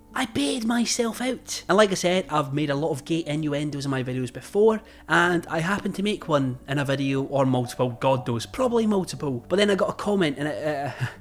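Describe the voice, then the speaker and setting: With a Scottish accent, a man talks at a fairly quick pace with hardly any pauses, his fairly high pitch swinging very widely over noticeable background noise. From Scotland. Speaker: YouTuber. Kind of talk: personal vlog storytelling. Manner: casual.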